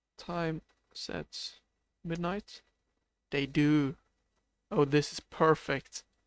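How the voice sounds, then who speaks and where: In a Swedish accent, a man talks at a very slow pace with a sad tone, fairly even intonation, and long, frequent pauses. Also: fairly high pitch for a man, dry, close sound with no echo. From Sweden. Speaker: video game streamer. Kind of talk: live stream gameplay commentary. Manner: sounds a bit sad; hesitant, many fillers.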